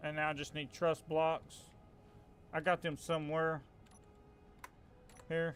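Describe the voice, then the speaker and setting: Someone with a strong Southern US accent talks at a fairly slow pace in a monotone, flat delivery broken by long, frequent pauses. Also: man, fairly high pitch for a man. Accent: Southern US, country accent, strong. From US South. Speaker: gaming streamer. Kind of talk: live gameplay commentary. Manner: casual, halting with fillers.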